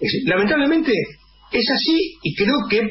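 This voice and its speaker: Light noise is audible in the background. A man does the talking. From Argentina. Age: old. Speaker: radio co-host. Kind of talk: radio panel discussion. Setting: radio studio. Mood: critical, political opinion. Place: studio.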